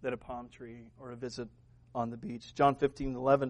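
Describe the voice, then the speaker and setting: Over a quiet background, a man speaks at a fairly slow pace. His medium-pitched voice keeps a fairly even intonation. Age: 50s. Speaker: pastor. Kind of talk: sermon. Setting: church.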